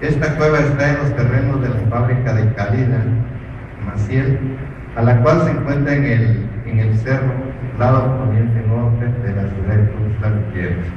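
With noticeable background noise and audible room echo, a man talks at a fairly slow pace with ordinary pitch variation. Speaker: reader at a cultural festival. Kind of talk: reading a written chronicle. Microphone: camera far.

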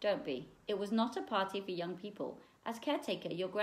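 This is plain reading aloud. Its pitch varies by ordinary amounts.

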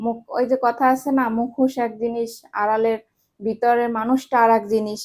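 With a Bangladeshi accent, a woman speaks at a fairly high pitch with monotone, flat intonation. The recording is very clean, with a silent background. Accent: regional Bangladeshi dialect. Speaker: lifestyle vlogger. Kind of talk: casual vlog storytelling. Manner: unpolished, conversational.

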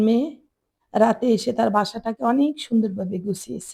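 A woman's fairly high voice with vocal fry. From Bangladesh, Chittagong. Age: old. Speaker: lifestyle vlogger, housewife. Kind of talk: home tour vlog narration.

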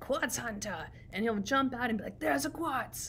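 Amid clear background noise, a woman does a raspy put-on character voice at a fairly high pitch and a moderate pace. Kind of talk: lecture. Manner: excited, jokey.

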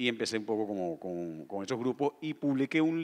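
A man speaks at a fairly slow pace with lively intonation. The background is quiet. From Venezuela. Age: 50s. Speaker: novelist. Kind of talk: on-stage interview at literature festival. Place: stage. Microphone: handheld.

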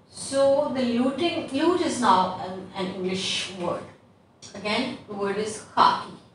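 A fairly high-pitched woman at a fairly slow pace with lively intonation, light background noise and audible room echo. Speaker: English teacher. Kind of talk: online lesson. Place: classroom. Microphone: camera far.

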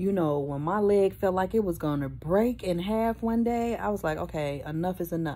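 Lively intonation marks this woman's fairly low voice, which has a dark, mellow tone. Her pace is moderate. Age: 50s. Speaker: vlogger with a prosthetic leg. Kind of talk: casual vlog talk to camera. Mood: earnest, animated storytelling. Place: home room. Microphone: phone near.

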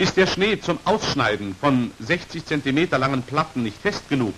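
A man's fairly bright voice of medium pitch, with big pitch swings at a moderate pace

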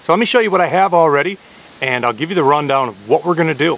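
At a very fast pace, the voice moves with lively intonation in a dry sound with no echo. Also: man. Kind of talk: casual vlog chat. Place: forest. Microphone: phone near.

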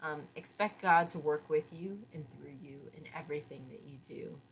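Somewhat breathy and warm in tone, a woman with a fairly low pitch speaks with ordinary pitch variation over light background noise. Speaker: church devotional leader. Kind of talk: devotional reading followed by fervent, heartfelt prayer. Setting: online video broadcast from church. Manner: earnest, warm, fervent and gently halting with filler words. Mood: calm, earnest, warm. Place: home room. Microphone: webcam.

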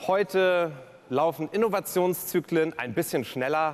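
Here a man talks with a high pitch. His pace is fairly slow. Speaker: keynote speaker and cabaret performer. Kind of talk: cabaret-style speech on stage at a gala. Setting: live stage event. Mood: humorous, playful. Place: stage. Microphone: headset.

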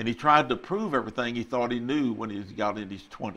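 The delivery moves at a moderate pace with ordinary pitch variation. It carries a Texan accent. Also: man. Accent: Texan Southern US English. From Texas. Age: 80s+. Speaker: retired pastor. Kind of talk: testimony. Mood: calm, reflective. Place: studio. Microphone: lapel.

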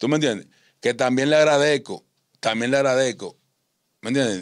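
The background stays quiet. A male speaker's intonation is fairly level. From Dominican Republic, San Juan countryside, raised in Santo Domingo; Dominican Republic. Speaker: ex-convict; interview guest. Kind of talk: interview, life story. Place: studio. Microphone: studio mic.

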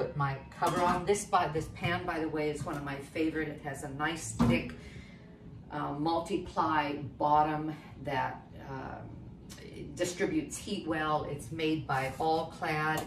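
The speech moves at a fairly slow pace, with noticeable background noise. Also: woman, very deep, low pitch for a woman. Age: 70s. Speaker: cooking demonstrator and author; cooking demonstrator. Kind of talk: cooking tutorial. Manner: animated. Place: kitchen. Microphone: camera far.

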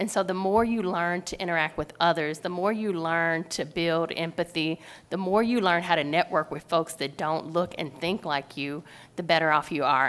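At a fairly quick pace, a woman speaks with a fairly low pitch and fairly even intonation. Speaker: sales director; panelist. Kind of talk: panel discussion. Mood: earnest, encouraging advice. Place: hall. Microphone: podium.

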